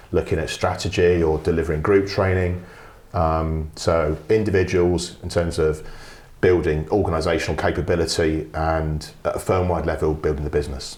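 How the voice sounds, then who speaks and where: This man has a London accent and a very deep, low voice. He sounds somewhat breathy, with fairly even intonation. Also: moderate pace. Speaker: business development consultant. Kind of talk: podcast interview. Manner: conversational, with hesitations.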